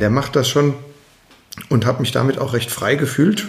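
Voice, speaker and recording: A man's somewhat breathy, medium-pitched voice with lively intonation and audible room echo. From Germany, Mainz. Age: 40s. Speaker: construction business owner. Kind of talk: interview.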